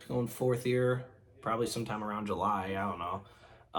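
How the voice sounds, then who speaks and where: Noticeable background noise and audible room echo surround the recording. A man speaks at medium pitch. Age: 20s. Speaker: youtuber and field machinist apprentice. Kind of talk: casual vlog talk to camera. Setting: game room at home. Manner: halting, many fillers and restarts.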